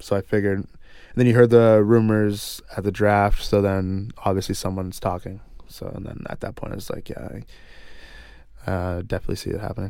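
A man talks at a moderate pace in a fairly low pitch with a dark, mellow tone. His intonation stays monotone and flat. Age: 20s. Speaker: professional hockey player. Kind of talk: casual chat.

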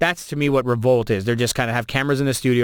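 A man with a Toronto accent at a very fast pace, in a very clean recording with a silent background. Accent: Canadian (Toronto). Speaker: radio host and DJ. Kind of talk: casual interview chat. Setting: studio.

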